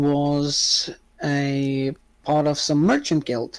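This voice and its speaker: Speaking with a non-native accent, a woman talks at a very slow pace. Her pitch is very deep and low, and the recording is very clean with a silent background. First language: not English. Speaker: game master and streamer. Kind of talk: tabletop role-play narration. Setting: live stream. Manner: hesitant, many filler sounds.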